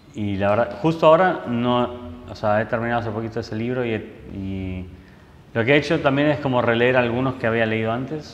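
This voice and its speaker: In audible room echo, a man with a medium pitch speaks at a fairly quick pace with ordinary pitch variation. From Argentina, Buenos Aires. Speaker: photojournalist. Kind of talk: interview. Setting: photo club room.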